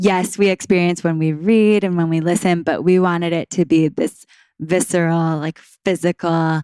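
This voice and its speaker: Moderate pace and ordinary pitch variation, on a very clean recording with a silent background and a dry, close sound with no echo. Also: woman. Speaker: kundalini yoga teacher and wellness founder. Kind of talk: casual interview chat. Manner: enthusiastic.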